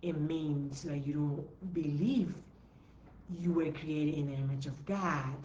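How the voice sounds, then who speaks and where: A woman with a very deep, low voice speaks at a fairly slow pace amid audible room echo. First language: not English. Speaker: entrepreneur coach. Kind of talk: live stream talk. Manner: repetitive, emphatic.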